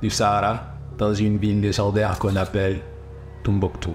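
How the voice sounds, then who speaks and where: Music plays in the background as a man with an English accent and fairly low pitch speaks at a moderate pace with audible room echo. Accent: English-speaking accent in French. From Guinea (Fouta Djallon), then USA. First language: English (speaking French). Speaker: documentary filmmaker. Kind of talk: documentary narration, storytelling. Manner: halting, repeats words.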